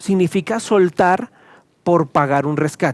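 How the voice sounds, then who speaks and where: Lively intonation from a male speaker. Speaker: pastor. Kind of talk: sermon. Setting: recorded video teaching to camera. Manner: fast.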